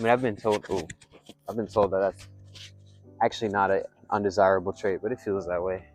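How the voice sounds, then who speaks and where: A man with a fairly low voice talks at a very fast clip over background music. He leaves long pauses, and they come often. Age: 20s. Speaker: vlogger. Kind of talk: casual monologue. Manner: soft-spoken; hesitant, many fillers.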